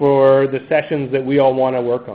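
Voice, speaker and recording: At a moderate pace, a man is talking. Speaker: call host or team lead. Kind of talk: meeting briefing. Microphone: video call.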